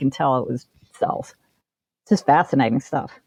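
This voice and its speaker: A woman with a Midwestern American accent at a moderate pace, with very wide pitch swings. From Ohio. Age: 60s. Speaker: author and local historian. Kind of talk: interview.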